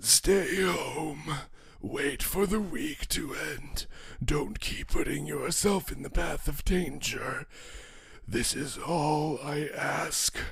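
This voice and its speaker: A man's raspy, put-on character voice at a very slow pace, with light background noise. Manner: menacing, growly warning.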